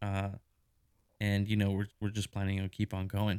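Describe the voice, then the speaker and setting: A man is heard in a dry, close sound with no echo. The recording is very clean, with a silent background. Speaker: podcast host. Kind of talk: casual chat.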